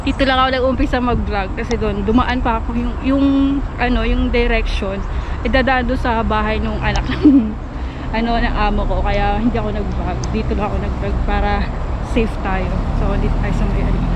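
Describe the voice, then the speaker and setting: The sound is dry, with no echo, but noticeable background noise is present. A woman speaks at a fairly quick pace. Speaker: vlogger. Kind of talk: casual vlog chat. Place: street. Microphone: phone near.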